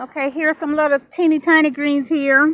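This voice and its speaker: A woman's high-pitched, raised and projected voice with fairly even intonation. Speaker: home gardener. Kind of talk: casual talk to camera. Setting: outdoors.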